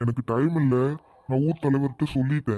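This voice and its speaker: A man puts on a cartoonish character voice. It sits at a medium pitch with fairly even intonation. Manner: calm, soft-spoken.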